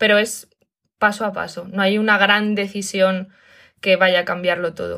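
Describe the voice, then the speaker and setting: A woman's medium-pitched voice with a Castilian accent, bright and sharp in tone, flat and monotone, at a fairly slow pace. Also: very clean recording, silent background. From Spain. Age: 30s. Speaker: digital nomad and online school founder. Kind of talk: interview.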